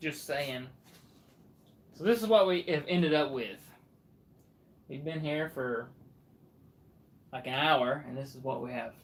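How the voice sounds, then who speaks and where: The speaker has a Southern accent and a fairly slow pace. Long pauses come often. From Alabama. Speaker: livestreamer, anime figure collector and artist. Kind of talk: casual livestream chat.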